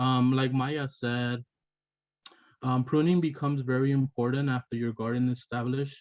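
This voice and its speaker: The sound is dry and close with no echo, and the voice moves at a moderate pace with fairly even intonation. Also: man. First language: not English. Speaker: landscaper and gardening teacher. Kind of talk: lecture. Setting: webinar. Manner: halting, many fillers.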